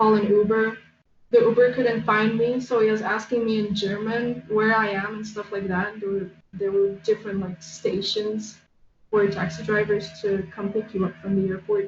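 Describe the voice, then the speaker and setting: At a moderate pace and medium pitch, a woman with a Polish accent speaks in a monotone, flat way. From Poland. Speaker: artist. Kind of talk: casual chat.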